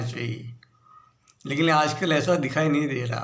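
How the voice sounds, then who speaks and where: The speaker is a man. Room echo is audible around his voice. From Gujarat, India (Bharuch). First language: Gujarati (speaking Hindi). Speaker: political commentator. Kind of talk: video monologue on politics.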